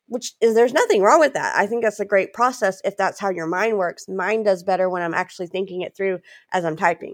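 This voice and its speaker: The sound is dry and close, with no echo. A woman with an American accent speaks with ordinary pitch variation. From Louisiana. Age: 40s. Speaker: author and speaker. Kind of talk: interview.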